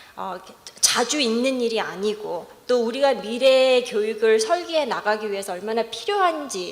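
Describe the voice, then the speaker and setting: A woman with an English accent at a fairly high pitch and fairly slow pace, lively intonation, audible room echo and noticeable background noise. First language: English (speaking Korean). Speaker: professor. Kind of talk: conference presentation. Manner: halting.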